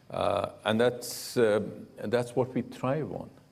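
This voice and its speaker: The man's pitch sits in the medium range. He talks at a fairly slow pace. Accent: Punjabi. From India. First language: Punjabi. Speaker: diplomat. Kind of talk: interview on stage. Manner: hesitant, many fillers.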